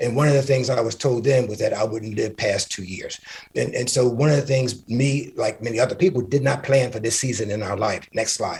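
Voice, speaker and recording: A man talks at a fairly quick pace. His voice sounds somewhat breathy. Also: medium pitch for a man, ordinary pitch variation. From Philadelphia, US Northeast. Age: 60s. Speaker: HIV community advocate. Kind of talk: conference presentation. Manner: halting, many fillers.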